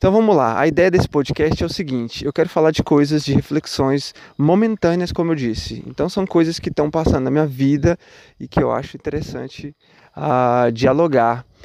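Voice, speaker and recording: A man with a plain, everyday voice speaks at a moderate pace. His pitch is fairly high, with ordinary variation. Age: 30s. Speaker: musician and podcaster. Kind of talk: casual reflective monologue. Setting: outdoors at night, walking, recorded on phone. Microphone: phone microphone.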